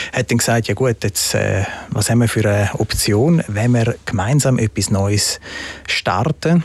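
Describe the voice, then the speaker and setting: A man's medium-pitched voice at a fairly slow pace, with ordinary pitch variation and very even loudness, in a dry, close sound with no echo and noticeable background noise. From Switzerland, partly raised in Italy. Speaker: entrepreneur, shoe company founder. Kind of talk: interview.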